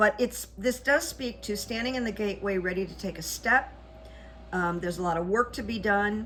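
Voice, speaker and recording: A woman's medium-pitched voice at a moderate pace, ordinary pitch variation, noticeable background noise. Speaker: psychic coach and channel host. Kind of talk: solo video commentary with rune reading. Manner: loud.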